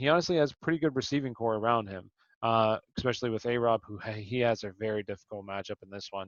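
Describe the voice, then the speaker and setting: Speaking at a very fast pace with hardly any pauses, a man uses a medium pitch with ordinary variation and big swings in loudness. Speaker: fantasy sports show host. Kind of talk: casual sports analysis chat.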